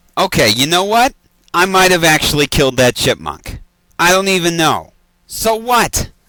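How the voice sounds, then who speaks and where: In a put-on character voice, a man speaks at a high pitch and a moderate pace with lively intonation. His loudness stays very even in a dry, close sound with no echo. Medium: comedy sketch. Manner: exasperated, incredulous.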